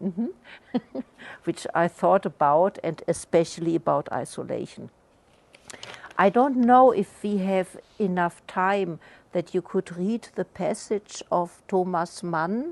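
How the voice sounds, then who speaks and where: A woman speaks at a medium pitch with a non-native accent. Her pace is very slow, and her pitch varies in an ordinary way. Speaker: artist in conversation at book launch. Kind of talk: discussion. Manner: halting.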